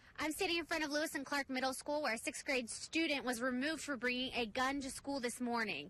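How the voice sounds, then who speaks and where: Raising and projecting her voice, a woman speaks in a bright, sharp tone at a high pitch. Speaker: television news reporter. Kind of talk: broadcast news reporting.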